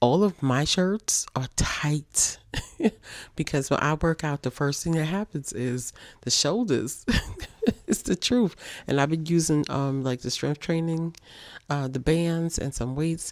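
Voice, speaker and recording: A woman's quiet, animated voice with a very deep, low pitch and ordinary pitch variation, fairly slow with long, frequent pauses, in a very clean recording with a silent background. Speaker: single mother vlogger. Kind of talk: casual monologue to viewers. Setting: bedroom at home. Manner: quiet, holding volume down.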